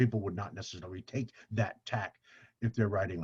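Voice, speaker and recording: The background is quiet. A man speaks at a moderate pace in a somewhat breathy voice. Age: 70s. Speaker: author and speaker. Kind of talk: casual interview conversation.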